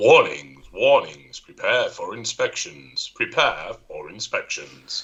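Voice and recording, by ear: In a robotic, put-on character voice of extremely high pitch, a man speaks at a fairly slow pace with hardly any pauses.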